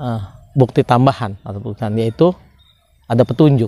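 A man's dark, mellow voice at a moderate pace, with ordinary pitch variation and a dry sound free of echo. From Indonesia, Subang, West Java; West Java, Indonesia. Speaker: law educator; law commentator. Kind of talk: lecture. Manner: formal. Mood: calm, earnest. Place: open country. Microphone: lapel.

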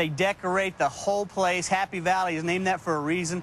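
Talking fairly quickly with a Texan accent, a man comes through in a dry, echo-free sound with light background noise. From Texas. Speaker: tailgating association representative. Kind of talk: TV interview. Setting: TV studio. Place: street.

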